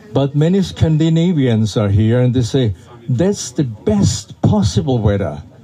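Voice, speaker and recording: A speaker with a German accent talks at a fairly slow pace, with very wide pitch swings but very even loudness, over noticeable background noise. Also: man, medium pitch for a man. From Austria. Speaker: festival director. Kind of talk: welcome speech to audience. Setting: outdoors in rain.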